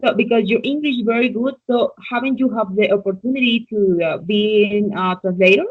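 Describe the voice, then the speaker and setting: The speaker keeps a moderate pace with hardly any pauses and ordinary pitch variation. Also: woman, fairly high pitch for a woman. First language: Spanish. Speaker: English learner. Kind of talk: conversation practice interview.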